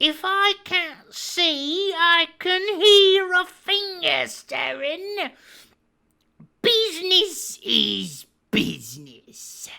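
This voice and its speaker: Using a put-on character voice of extremely high pitch, a man speaks at a very slow pace. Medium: read story. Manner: soft-spoken, menacing.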